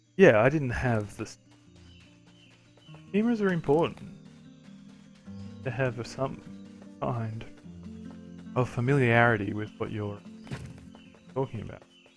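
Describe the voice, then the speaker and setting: A man with an Australian accent speaks at a fairly slow pace with long, frequent pauses while music plays in the background. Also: medium pitch for a man, big swings in loudness. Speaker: gamer. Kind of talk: let's play commentary. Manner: casual, rambling.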